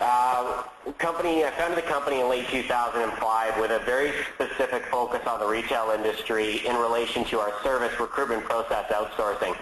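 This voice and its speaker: The speaker has a Canadian accent. Noticeable background noise and audible room echo fill the recording. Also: man. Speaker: company founder presenting a webinar. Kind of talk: webinar presentation. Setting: online webinar. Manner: fast; hesitant, many fillers and repeats.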